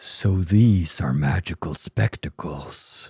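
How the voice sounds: Using a put-on character voice, a man speaks very slowly in a shaky, very deep, low pitch.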